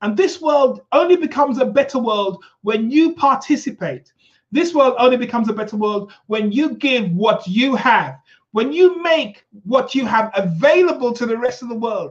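With an extremely high pitch, a man speaks at a moderate pace. His tone is animated and his intonation lively. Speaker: talk show host. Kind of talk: motivational live show chat. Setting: live stream video call. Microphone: new microphone with technical problems.

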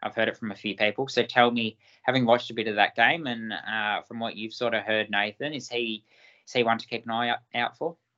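A man speaks fairly quickly at a medium pitch, his bright, sharp tone and fairly even intonation captured in a dry, close sound with no echo. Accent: Australian. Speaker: junior football draft podcast co-host. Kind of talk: casual sports analysis chat. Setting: recorded video podcast.

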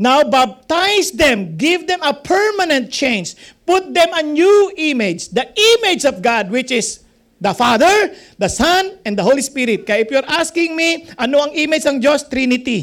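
A moderate pace in a Filipino accent. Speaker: pastor or Bible teacher. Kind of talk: Bible teaching to a live group.

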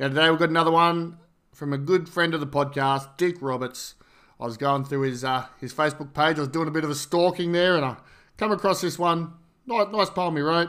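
In a very clean recording with a silent background, a man with an Australian accent speaks fairly quickly in a fairly high pitch, his tone bright and sharp and his pitch variation ordinary. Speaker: podcast host. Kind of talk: reading aloud poetry; casual monologue.

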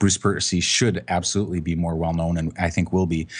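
Against a quiet background, a man with a Canadian accent speaks in a very deep, low voice with flat, monotone intonation. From Canada. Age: 40s. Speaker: photographer and author. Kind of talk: casual chat.

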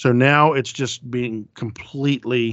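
A man's medium-pitched voice at a very slow pace with ordinary pitch variation. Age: 50s. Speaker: horror podcast host. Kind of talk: casual chat.

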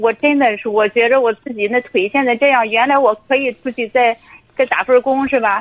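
Fairly even intonation at a fairly quick pace. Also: woman, high pitch for a woman. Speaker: caller, divorced mother and civil servant. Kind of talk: phone-in personal story. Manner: halting, many fillers. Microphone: too quiet at first.

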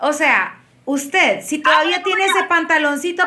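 With a Honduran accent, a woman speaks in a high, raised, projected voice at a fairly quick pace. Her tone is bright and sharp, and her intonation is lively. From Honduras, Tegucigalpa. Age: 30s. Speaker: publicist and body positivity influencer. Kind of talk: casual chat. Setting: studio.

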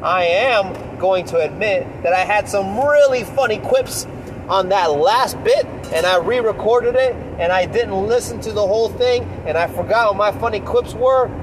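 Over noticeable background noise, a man with a high voice speaks at a moderate pace with ordinary pitch variation. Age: 30s. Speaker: fitness podcast host. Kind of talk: solo podcast monologue.

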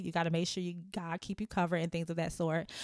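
In a very clean recording with a silent background and a dry, close sound with no echo, a woman with a fairly low voice speaks in an animated tone. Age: 30s. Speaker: podcast host. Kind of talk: casual chat. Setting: home studio. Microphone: new mic.

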